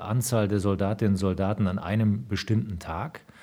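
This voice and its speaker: A man's dark, mellow voice, fairly low in pitch, at a moderate pace. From Rhineland, western Germany. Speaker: senior military officer. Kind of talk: interview. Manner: formal.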